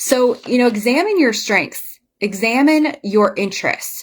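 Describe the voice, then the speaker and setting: At a fairly slow pace, a woman speaks in an animated tone with lively intonation. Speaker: business coach. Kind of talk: live online business talk.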